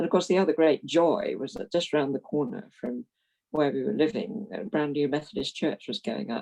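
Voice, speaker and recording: A woman with a very deep, low pitch speaks at a moderate pace with lively intonation and vocal fry. Her tone is dark and mellow, and the sound is dry and close with no echo. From London, England (South Norwood). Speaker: retired Methodist minister. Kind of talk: interview, life story.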